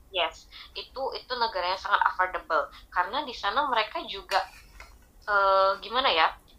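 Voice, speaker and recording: Lively intonation from a woman with a plain, everyday voice, medium pitch, moderate pace. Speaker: hospital worker and K-pop fan. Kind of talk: casual chat.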